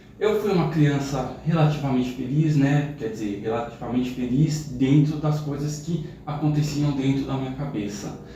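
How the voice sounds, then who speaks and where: A man's fairly high voice at a moderate pace, with ordinary pitch variation, hardly any pauses, audible room echo and noticeable background noise. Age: 30s. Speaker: youtuber. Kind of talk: personal testimony.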